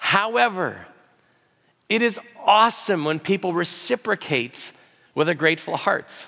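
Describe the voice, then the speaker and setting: A man with an American accent speaks at a fairly slow pace with long, frequent pauses. His high pitch carries lively intonation and a bright, sharp tone. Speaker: pastor. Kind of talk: sermon. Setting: church.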